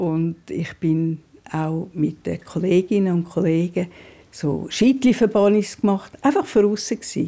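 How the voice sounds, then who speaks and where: A woman speaks at a very slow pace with a dark, mellow tone. Her medium pitch shows ordinary variation. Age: 80s+. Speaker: care home resident. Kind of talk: interview.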